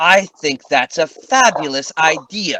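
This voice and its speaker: A put-on character voice is used here. Delivery comes at a fairly slow pace. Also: man. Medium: actual play. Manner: menacing, mocking.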